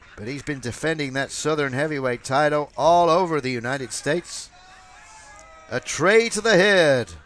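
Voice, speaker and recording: A man with an American accent speaks at a fairly high pitch while noticeable background noise plays. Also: lively intonation, moderate pace. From US South, Georgia. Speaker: wrestling commentator. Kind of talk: live commentary. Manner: animated.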